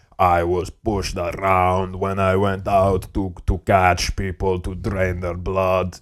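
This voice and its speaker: A man uses a put-on character voice with a very deep, low pitch and monotone, flat intonation. His pace is fairly slow, with hardly any pauses. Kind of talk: comic overacting. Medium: comedy sketch. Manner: boastful gym-bro slang, grunting exclamations.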